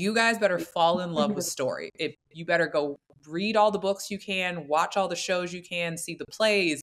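A woman's unremarkable speaking voice with a fairly low pitch, fairly even intonation and a moderate pace. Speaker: podcast guest. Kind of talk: interview answer. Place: home room. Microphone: earbuds.

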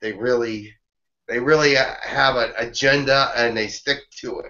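The speech runs at a moderate pace. The background is quiet. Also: man. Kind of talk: conversational Q&A answers. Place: home room. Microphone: webcam.

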